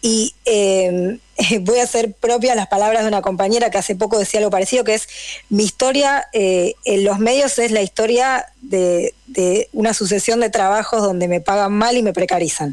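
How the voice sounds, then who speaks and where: With a plain, everyday voice, a woman talks at a moderate pace and fairly high pitch, showing ordinary pitch variation and very even loudness. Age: 30s. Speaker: journalist. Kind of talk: radio interview.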